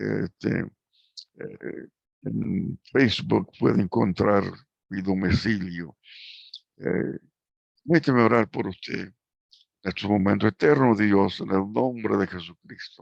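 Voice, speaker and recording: Speaking at a very slow pace with long, frequent pauses, a man with a fairly low pitch and vocal fry uses lively intonation, heard in a dry, close sound with no echo. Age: 80s+. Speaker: preacher. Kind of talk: sermon closing and appeal. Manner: halting, many fillers.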